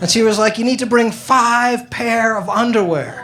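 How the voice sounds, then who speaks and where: A man's extremely high voice at a moderate pace, with audible room echo and noticeable background noise. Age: 50s. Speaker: stand-up comedian. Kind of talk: stand-up.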